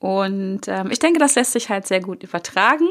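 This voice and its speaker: This woman has a plain, everyday voice and a fairly high pitch. She talks at a moderate pace over a very clean recording with a silent background. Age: 40s. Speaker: podcast host, success coach. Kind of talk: solo podcast monologue. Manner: casual, many filler sounds.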